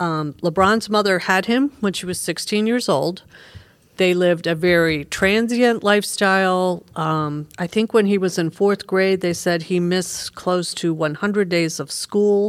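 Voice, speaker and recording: In an ordinary speaking voice, a woman with an American accent talks at a medium pitch and a fairly slow pace, with ordinary pitch variation. The recording is very clean, with a silent background. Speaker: librarian and podcast host. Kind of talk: casual chat about books.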